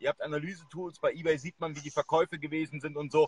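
A man with a fairly high pitch talks at a very fast pace, and the sound is dry and close with no echo. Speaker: e-commerce livestream host. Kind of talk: live video interview. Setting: live video stream at a university. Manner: hesitant, many filler sounds.

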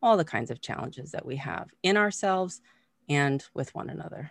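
A woman speaks with an American accent and lively intonation. The sound is dry and close with no echo, over a quiet background. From Massachusetts, US. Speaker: mindfulness teacher and coach. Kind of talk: interview. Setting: video call.

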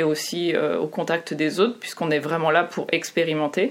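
A woman speaks in an ordinary speaking voice with a fairly low pitch. Her pitch variation is ordinary. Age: 30s. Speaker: UX designer. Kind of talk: interview.

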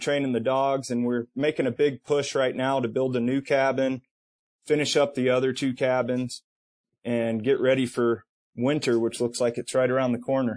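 A man speaks at medium pitch and a moderate pace in a monotone, flat intonation. The sound is dry and close with no echo, against a quiet background. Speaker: sled dog musher. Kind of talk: interview.

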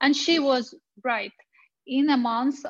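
In a Russian accent, a woman talks at a fairly slow pace with fairly even intonation. The background is quiet. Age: 30s. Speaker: women's rights activist. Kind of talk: testimony and presentation. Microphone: connection dropped out, got muted.

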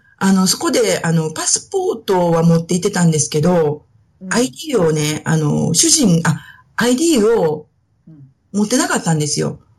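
This woman has a plain, everyday voice at a fairly low pitch. Her intonation is lively. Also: fairly slow pace. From Osaka (Suita), Japan. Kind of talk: casual interview.

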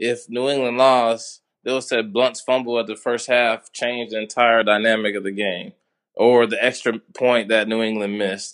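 A man's ordinary speaking voice at medium pitch, moderate in pace with fairly even intonation, over a quiet background. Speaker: caller. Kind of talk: casual sports talk. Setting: phone call.

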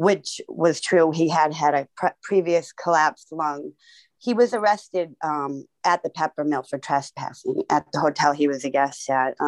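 A woman with an American accent and a very deep, low pitch, with ordinary pitch variation, recorded dry and close with no echo against a quiet background. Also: moderate pace. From Boston. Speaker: activist, sister of police killing victim. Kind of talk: testimony.

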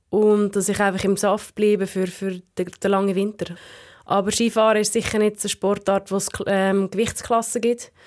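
Her delivery is monotone and flat, at a moderate pace and medium pitch. The recording is very clean, with a silent background. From Central Switzerland. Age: 20s. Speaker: alpine ski racer. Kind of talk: casual interview.

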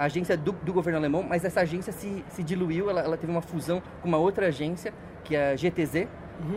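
A man's high-pitched voice, fairly quick in pace, with fairly even intonation. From Brazil, São Paulo ABC region. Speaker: environmental and energy specialist. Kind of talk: interview. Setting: event venue in San Francisco.

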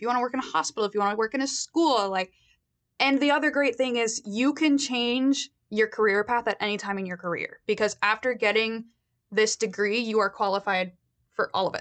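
A woman talks in a normal speaking voice with ordinary pitch variation. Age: 20s. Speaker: graduate student in speech pathology. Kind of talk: interview. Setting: studio.

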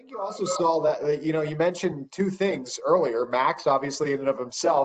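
Here is an ordinary speaking voice from a man, fairly high in pitch. He talks at a moderate pace. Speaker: podcast host. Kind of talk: casual chat.

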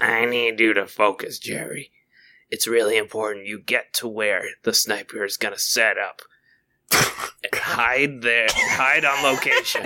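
Someone uses a put-on character voice, gravelly and fairly slow, with fairly even intonation. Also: man, medium pitch for a man. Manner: urgent, focused.

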